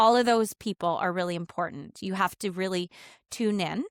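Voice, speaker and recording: A woman with an unremarkable speaking voice talks at a fairly quick pace and medium pitch, with fairly even intonation. The recording is very clean, dry and close, with a silent background and no echo. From Canada. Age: 40s. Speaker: educator and author. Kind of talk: podcast interview.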